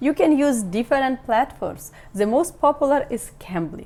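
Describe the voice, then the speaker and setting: A woman speaks with a Ukrainian accent at a moderate pace. Her tone is dark and mellow. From Ukraine. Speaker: business tips youtuber. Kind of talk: online tutorial.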